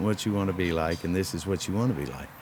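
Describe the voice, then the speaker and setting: A man speaks very fast in a very deep, low pitch. Noticeable background noise runs underneath. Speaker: professional wrestler. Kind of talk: interview answer.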